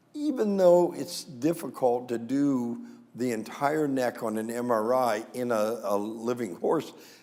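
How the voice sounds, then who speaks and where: With an American accent, a man of medium pitch speaks at a fairly slow pace with ordinary pitch variation amid audible room echo. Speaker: veterinary neurologist. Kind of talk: lecture. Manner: hesitant fillers.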